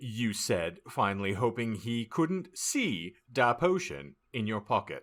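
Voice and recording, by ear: Here a natural voice reads aloud.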